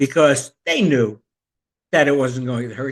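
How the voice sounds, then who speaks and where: A man talks at a fairly slow pace with an American accent. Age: 60s. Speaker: podcast host, retired teacher. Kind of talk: casual monologue.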